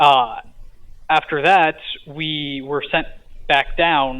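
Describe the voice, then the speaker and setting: A man's fairly high-pitched voice. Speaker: podcast guest recounting a dream. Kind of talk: casual interview. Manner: halting.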